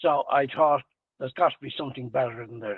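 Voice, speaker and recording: With a Dublin accent, a man speaks in a fairly high pitch and fairly even intonation. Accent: Dublin Irish. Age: 80s+. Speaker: retired tradesman and salesman. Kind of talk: interview. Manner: hesitant fillers.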